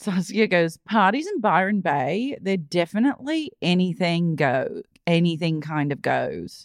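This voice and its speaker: Delivered at a fairly slow pace, the speech runs with hardly any pauses. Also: woman, fairly low pitch for a woman. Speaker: podcast co-host. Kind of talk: casual chat. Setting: remote recording.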